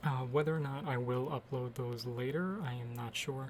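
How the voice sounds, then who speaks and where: The man's voice is somewhat breathy, and his intonation stays fairly even. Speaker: artist narrating own speed drawing. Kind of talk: casual voiceover commentary. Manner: hesitant, many fillers.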